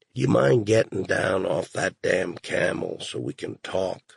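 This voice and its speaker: A man's raspy, put-on character voice at a fairly slow pace, dry and close with no echo. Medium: read story. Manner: conciliatory, earnest.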